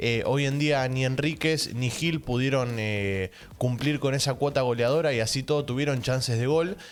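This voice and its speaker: Against noticeable background noise, a man with a medium-pitched voice talks at a moderate pace with ordinary pitch variation, very even loudness, and hardly any pauses. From Argentina. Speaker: football reaction youtuber. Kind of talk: football match analysis vlog. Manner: speaking quietly.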